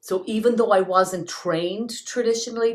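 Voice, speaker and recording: This is a woman speaking. She has an Irish accent. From Ireland, County Clare. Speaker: singer-songwriter. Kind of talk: interview answer.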